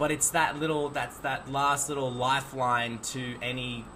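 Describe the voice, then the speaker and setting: With an Australian accent, a man speaks at medium pitch amid noticeable background noise. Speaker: podcast host, bartender. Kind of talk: casual chat. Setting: video podcast interview.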